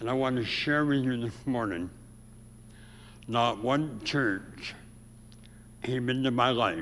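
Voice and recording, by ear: In an American accent, a man speaks slowly with long, frequent pauses, his nasal, fairly bright voice at a medium pitch carrying audible room echo.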